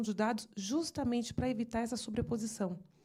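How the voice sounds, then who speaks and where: Somewhat breathy, a woman talks fairly quickly at a fairly high pitch in a dark, mellow tone. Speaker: lawyer. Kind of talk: seminar presentation. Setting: seminar panel. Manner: fast; halting.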